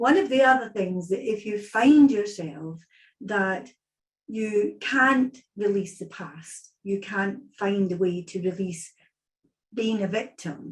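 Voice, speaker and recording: A woman's very slow, somewhat breathy speech at medium pitch with ordinary pitch variation. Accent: Scottish. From Scotland. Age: 60s. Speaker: psychic medium. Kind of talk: online event talk.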